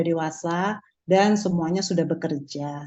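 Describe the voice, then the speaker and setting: A woman with a plain, everyday voice speaks at a fairly low pitch with fairly even intonation. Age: 60s. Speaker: customer giving testimony. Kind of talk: testimony.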